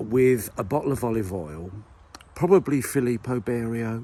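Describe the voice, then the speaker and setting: Speaking with a Southern English accent, a man uses a fairly low pitch at a moderate pace. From Southern England. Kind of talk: casual comedic talk to camera while walking. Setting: outdoors. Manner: rambling, whimsical.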